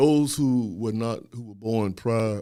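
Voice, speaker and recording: With an American accent, a man talks in an ordinary speaking voice at medium pitch and a moderate pace, with ordinary pitch variation, on a very clean recording with a silent background. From US South (Louisiana). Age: 60s. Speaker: historian and professor. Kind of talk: podcast interview.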